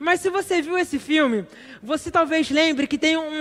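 A man speaks with ordinary pitch variation. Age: 20s. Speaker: preacher. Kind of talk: sermon. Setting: church.

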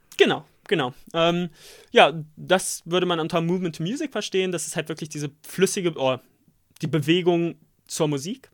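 With long, frequent pauses, a man with a high pitch speaks at a moderate pace in a very clean recording with a silent background. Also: ordinary pitch variation. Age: 20s. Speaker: podcast co-host, formation dancer, student. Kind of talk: casual chat. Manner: halting.

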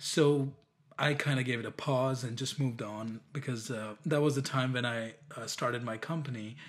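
A man speaks at a moderate pace with medium pitch and fairly even intonation. Noticeable background noise runs underneath. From India. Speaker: app developer. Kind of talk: casual interview. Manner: halting, many fillers and restarts.

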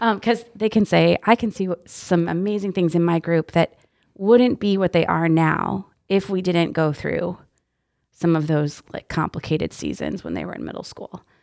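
Recorded very cleanly against a silent background with a dry, close sound and no echo, a woman with an American accent uses an ordinary speaking voice at a fairly low pitch and a moderate pace. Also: ordinary pitch variation. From Texas. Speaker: youth ministry director. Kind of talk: casual interview chat. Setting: studio, windowless room.

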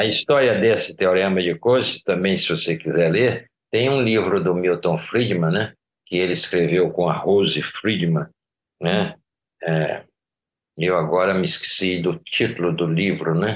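At a fairly slow pace, a man with a very deep, low pitch speaks with ordinary pitch variation and very even loudness. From Brazilian Northeast (Recife, Paraíba). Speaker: economics professor. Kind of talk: interview.

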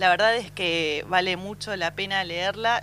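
A woman's bright, sharp voice at a medium pitch moves at a fairly slow pace with fairly even intonation. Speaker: radio host. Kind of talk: casual chat.

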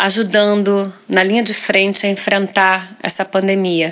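Slow to the extreme, a woman talks at a very slow pace. Her pitch sits in the medium range. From Rio de Janeiro, Brazil. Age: 40s. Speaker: actress. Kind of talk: interview. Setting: hotel room.

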